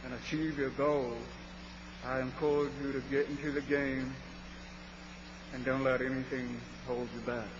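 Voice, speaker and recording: Over noticeable background noise and audible room echo, a man with an American accent and a medium pitch speaks in a monotone, flat intonation at a moderate pace with long, frequent pauses. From US South, South Carolina. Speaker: engineering supervisor. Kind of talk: workplace speech.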